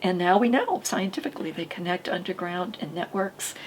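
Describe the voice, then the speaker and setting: Noticeable background noise runs behind a woman speaking at a moderate pace. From Maine. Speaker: podcast host, author. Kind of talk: casual chat. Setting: studio. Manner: halting.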